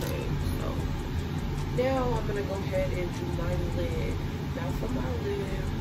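Music runs behind the speech. The speaker is a woman. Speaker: beauty vlogger. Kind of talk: makeup tutorial. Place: home room. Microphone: earbuds.

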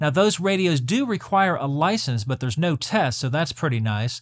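A man talks with lively intonation against a quiet background. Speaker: radio hobby channel host. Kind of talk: tutorial. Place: home room.

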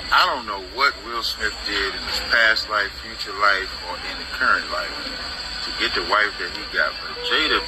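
Music plays behind a man who speaks at a moderate speed. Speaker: social media commentator. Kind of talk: casual vlog commentary. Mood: indignant, critical. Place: gym. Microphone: phone near.

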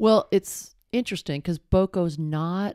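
The speaker goes at a fairly slow pace with ordinary pitch variation, in a quiet background with dry sound and no echo. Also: woman. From Boston. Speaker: sportswear company founder; podcast guest. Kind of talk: casual interview. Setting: in person at company headquarters. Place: home room. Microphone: handheld.

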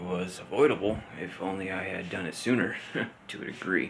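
A man's very deep, low voice with ordinary pitch variation over light background noise. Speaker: vlogger. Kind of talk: reflective casual vlog monologue. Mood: pensive, subdued. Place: home room. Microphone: phone near.

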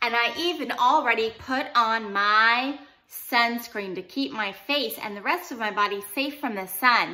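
A woman speaks at a very slow pace with ordinary pitch variation. Her tone is bright and sharp. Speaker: teacher. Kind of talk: playful lesson talk to children. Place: kitchen. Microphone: phone near.

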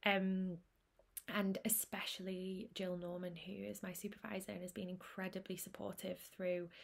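A woman speaks in a monotone. Her voice is somewhat breathy and her intonation flat. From Manchester, northern England; northern England. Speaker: speech and language therapist. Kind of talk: prepared presentation. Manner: hesitant, frequent um fillers. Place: home room. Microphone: webcam.

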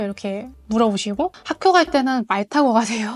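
Speaking at a moderate pace, a woman with a Mongolian accent has a high pitch and ordinary pitch variation. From Mongolia, Ulaanbaatar. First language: Mongolian (speaking Korean). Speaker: freelance interpreter. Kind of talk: interview.

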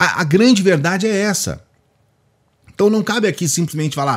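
A man speaks with a Brazilian accent and lively intonation. The background is quiet. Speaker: YouTube political commentator. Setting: home video studio, direct to camera. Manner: indignant, heated and emphatic, with harsh, accusatory delivery; forceful, hammering conclusions, charged with contempt. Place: home room. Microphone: studio mic.

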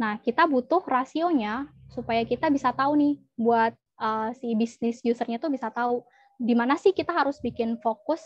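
Recorded dry with no echo over a quiet background, a woman speaks at a moderate pace in a high voice. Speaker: data analyst. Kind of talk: presentation. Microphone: video call.

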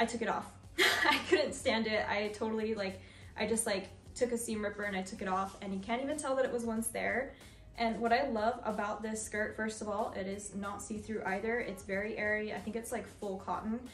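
Against faint background music and audible room echo, a woman talks at a fairly quick pace with fairly even intonation. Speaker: fashion vlogger. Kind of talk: casual try-on haul chat. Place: home room. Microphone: camera far.

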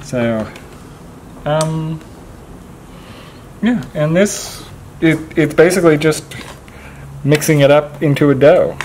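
Long, frequent pauses break up a man's very slow speech. Light background noise sits underneath. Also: ordinary pitch variation. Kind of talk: demonstration explanation. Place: workshop.

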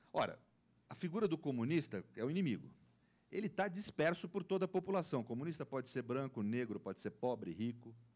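A man talks at a fairly quick pace in a fairly high pitch, with very wide pitch swings. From Brazil. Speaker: law professor; panelist. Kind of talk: panel debate talk. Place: meeting room. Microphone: handheld.

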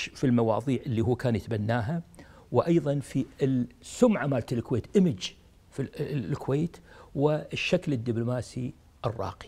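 In a Kuwaiti accent, a man speaks at a fairly slow pace with ordinary pitch variation. His somewhat breathy voice has a dark, mellow tone. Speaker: retired diplomat; interviewee. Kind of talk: interview. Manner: halting. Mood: warm, admiring. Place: home room. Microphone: lapel.

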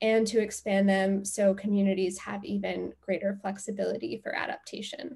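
Over a quiet background, a woman talks at a moderate pace in a somewhat breathy voice. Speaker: presenter. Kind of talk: presentation. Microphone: video call.

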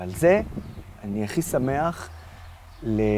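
A man's very slow speech with lively intonation, in a dry sound with no echo and light background noise. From Israel. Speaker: pro-Israel activist and blogger; interviewee, blogger. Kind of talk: interview. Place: garden. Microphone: lapel.

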